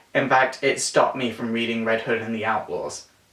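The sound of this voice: There is audible room echo as a man speaks at a moderate pace and medium pitch, his tone fairly bright and his pitch variation ordinary.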